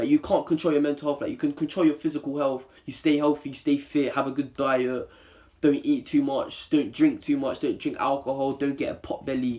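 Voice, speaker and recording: The speaker talks at a fairly quick pace with a London accent. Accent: London multicultural English. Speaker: YouTuber. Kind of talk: opinion vlog. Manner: serious, less playful.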